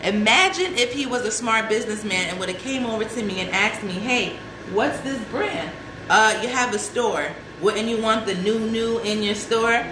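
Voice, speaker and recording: At a moderate pace, a woman with a fairly high pitch talks in an animated tone with ordinary pitch variation, amid audible room echo and noticeable background noise. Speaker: celebrity fashion stylist and show host. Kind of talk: casual live show talk.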